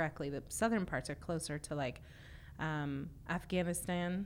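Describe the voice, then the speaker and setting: A plain, everyday voice at a moderate pace. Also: woman. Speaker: podcast host and linguist. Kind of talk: interview for an educational podcast. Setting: studio.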